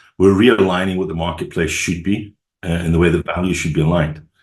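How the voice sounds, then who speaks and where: Over a quiet background, a man with a very deep, low pitch and a Scottish accent speaks at a fairly quick pace in fairly even intonation. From Scotland. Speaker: sales and marketing executive. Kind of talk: podcast interview.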